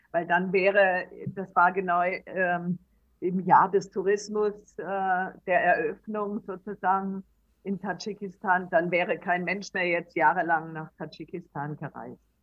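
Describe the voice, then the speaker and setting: The woman's intonation stays monotone and flat. She talks at a very slow pace. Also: medium pitch for a woman. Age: 60s. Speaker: traveller and author. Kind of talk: interview. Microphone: poor recording quality.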